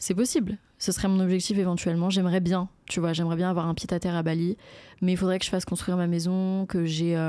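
On a very clean recording with a silent background, a woman speaks very fast at a medium pitch, her dark, mellow tone monotone and flat, her loudness very even. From Paris suburbs, France. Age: 20s. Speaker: content creator. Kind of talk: casual interview chat.

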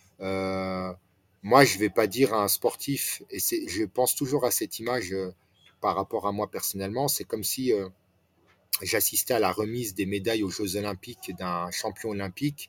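A man talks at a moderate pace, fairly low in pitch with ordinary pitch variation. The sound is dry and close with no echo. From France, Nancy area. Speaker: restaurant franchise owner. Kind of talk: interview. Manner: halting.

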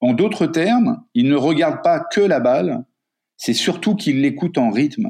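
Against a quiet background, a man with a high pitch and a dark, mellow tone speaks at a fairly slow pace, his pitch swinging very widely while his loudness stays very even. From Africa. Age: 50s. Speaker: coach and writer. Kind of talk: interview.

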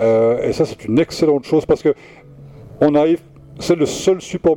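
A man talks at a fairly quick clip with a fairly high pitch. The sound is dry and close, without any echo. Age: 60s. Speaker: record shop manager. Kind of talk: radio interview. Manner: halting.

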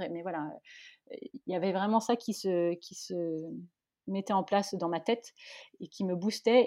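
A woman's dark, mellow tone at a moderate pace over a quiet background. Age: 30s. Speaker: podcast creator. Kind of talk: interview.

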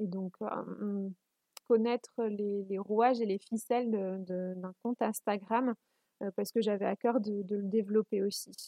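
Her intonation stays flat and monotone. The woman talks fairly slowly at a medium pitch. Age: 20s. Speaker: community manager. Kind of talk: casual interview. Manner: halting.

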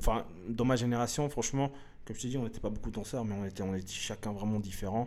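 A man's medium-pitched voice races along very fast with fairly even intonation. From Switzerland, Lausanne (arrived from Eritrea in 1985). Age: 30s. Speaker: hip-hop dancer. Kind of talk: casual interview. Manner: halting, many fillers and repetitions.

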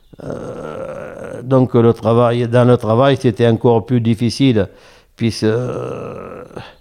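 The man's dark, mellow tone sits at a medium pitch, his intonation fairly level. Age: 70s. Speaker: retired oyster farmer. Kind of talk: interview. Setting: at home. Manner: halting.

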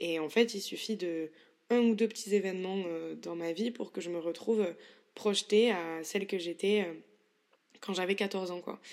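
A woman's medium-pitched voice at a fairly slow pace, with fairly even intonation and long, frequent pauses. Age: 20s. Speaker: solo podcaster. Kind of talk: introspective solo monologue. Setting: bedroom at home.

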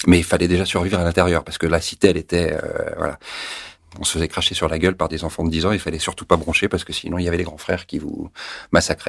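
A man's very deep, low voice at a very fast pace, flat and monotone, broken by long, frequent pauses. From France (Paris), teen years in Tunisia. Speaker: actor and former TV news presenter. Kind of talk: interview, personal testimony.

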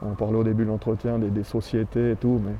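Fairly quick male speech at medium pitch. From Switzerland, Valais (Granges near Sierre). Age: 40s. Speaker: local civic leader. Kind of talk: casual interview. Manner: hesitant, many fillers.

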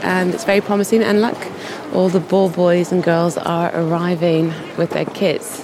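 At a moderate pace, the speech comes through with noticeable background noise. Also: woman. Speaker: podcast host and on-site reporter. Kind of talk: on-location reporting and vox-pop interviews. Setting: outdoors at tennis tournament grounds.

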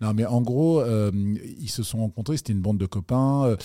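On a very clean recording with a silent background, a man's dark, mellow tone comes through with a dry, close sound and no echo. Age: 40s. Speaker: entrepreneur. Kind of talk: interview.

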